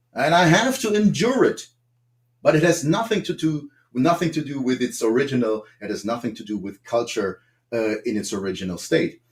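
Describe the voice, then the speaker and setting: A man with a German accent, his pitch swinging very widely. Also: fairly high pitch for a man, moderate pace. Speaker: political guest. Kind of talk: panel discussion. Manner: halting.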